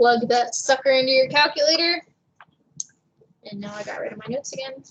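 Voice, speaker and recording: A woman speaks at a fairly quick pace in a high pitch. Her loudness swings widely. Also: ordinary pitch variation. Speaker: math teacher. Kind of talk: lecture. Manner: fast.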